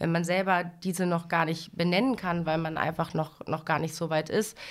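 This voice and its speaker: This woman has a plain, everyday voice, pitched fairly low. She talks at a moderate pace with fairly even intonation. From western Germany, Lower Rhine (Dinslaken). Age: 30s. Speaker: bank training manager. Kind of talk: interview on a corporate podcast.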